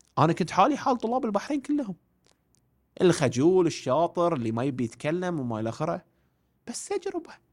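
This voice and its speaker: A man's high pitch swings very wide as he talks at a moderate pace. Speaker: education and career coach. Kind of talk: casual interview.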